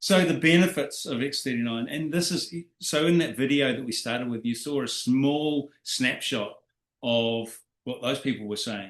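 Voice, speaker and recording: A man talks in a normal speaking voice at a moderate pace. His pitch is fairly high. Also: ordinary pitch variation. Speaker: network marketing presenter. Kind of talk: business presentation. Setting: video call.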